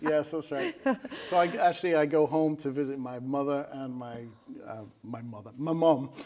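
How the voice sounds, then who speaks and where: Against noticeable background noise, a man with a fairly high pitch talks at a moderate pace, his loudness swinging widely. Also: ordinary pitch variation. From Manchester, England. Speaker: musician and concert organizer. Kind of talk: casual interview chat.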